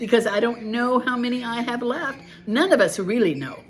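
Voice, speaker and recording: A woman speaks in an animated tone at a fairly quick clip. Her pitch sits fairly high, and there is noticeable background noise. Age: 70s. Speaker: devotional author and video blogger. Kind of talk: casual monologue.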